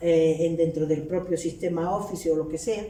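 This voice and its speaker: In a Canarian accent, a woman speaks at a fairly slow pace, with audible room echo and noticeable background noise. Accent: Canarian Spanish, retained. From Canary Islands. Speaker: linguistics professor. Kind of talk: academic lecture.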